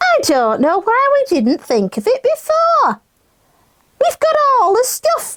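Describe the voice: This is a put-on character voice that sounds female, pitched extremely high. It moves along at a fairly slow pace.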